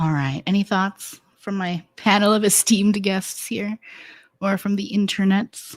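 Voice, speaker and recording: Speaking at a fairly slow pace, a woman uses a medium pitch and fairly even intonation, captured dry and close with no echo in a very clean recording over a silent background. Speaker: writing workshop facilitator. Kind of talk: facilitated group writing session. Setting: live stream. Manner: slow, close to mic when reading prompt.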